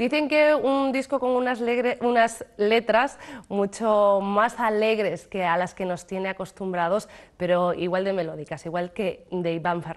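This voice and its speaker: Against a quiet background, a woman with a medium-pitched voice and lively intonation talks at a fairly slow pace. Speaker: TV presenter. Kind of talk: TV interview show. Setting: TV studio. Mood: friendly, smiling. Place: studio.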